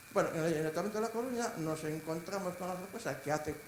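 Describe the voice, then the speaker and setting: A man talks fairly quickly, his voice carrying audible room echo amid noticeable background noise. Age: 60s. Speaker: manager of sheltered employment centres, audience member. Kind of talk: audience question and comment at a conference. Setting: conference hall with audience.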